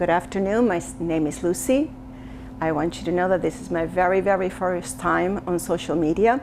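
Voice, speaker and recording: Against noticeable background noise, a woman with an Argentine accent speaks at a moderate pace in a fairly low voice with ordinary pitch variation. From Argentina, Buenos Aires. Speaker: social media commentator. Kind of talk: personal testimony monologue. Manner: halting, self-correcting.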